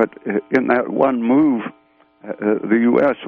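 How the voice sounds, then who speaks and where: A man speaks with a medium pitch. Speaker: physiologist. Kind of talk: radio interview. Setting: phone call. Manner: halting.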